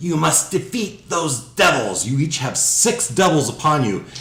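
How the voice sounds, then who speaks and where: Put-on character voice at a moderate pace, with hissing and slight echo. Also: man, fairly high pitch for a man. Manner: menacing, hissing.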